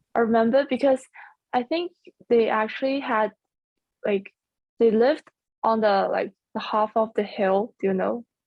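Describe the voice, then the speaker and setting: A woman with a Chinese accent, ordinary pitch variation, a moderate pace and long, frequent pauses. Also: fairly high pitch for a woman. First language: Mandarin Chinese. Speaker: university student. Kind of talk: casual interview chat. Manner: halting.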